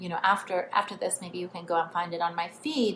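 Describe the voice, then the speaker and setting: A woman talks at a very fast pace. She has a non-native accent. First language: not English. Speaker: spiritual coach. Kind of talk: online training talk. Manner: casual, filler-heavy.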